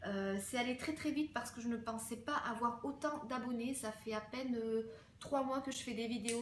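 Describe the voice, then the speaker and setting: Audible room echo surrounds a woman with a high voice. She keeps a moderate pace and fairly even intonation. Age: 20s. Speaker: fashion and beauty vlogger. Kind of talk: casual Q&A vlog. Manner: hesitant, many fillers.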